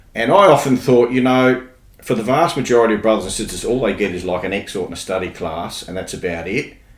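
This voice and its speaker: A man talks with an Australian accent. Audible room echo surrounds his voice. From Australia, Adelaide. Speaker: podcast guest, church member. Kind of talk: casual interview chat. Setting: podcast recording.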